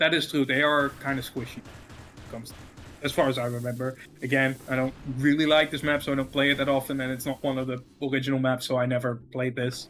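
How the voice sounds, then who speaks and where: A man with a Dutch accent talks at a very fast pace in a medium pitch. His intonation is flat and monotone. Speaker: esports caster. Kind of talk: casual chat.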